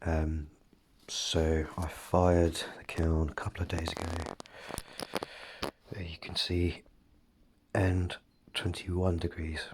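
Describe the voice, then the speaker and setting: Soft-spoken and somewhat breathy, a man speaks in a very deep, low, flat monotone at a very slow pace, with long, frequent pauses. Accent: British. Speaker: potter. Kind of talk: casual talk to camera. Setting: studio.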